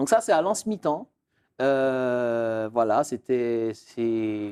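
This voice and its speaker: A man talks very slowly with a dark, mellow tone. His pitch is medium, with ordinary variation. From Martinique (Fort-de-France). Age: 30s. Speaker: real estate expert. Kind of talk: interview. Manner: hesitant, many fillers.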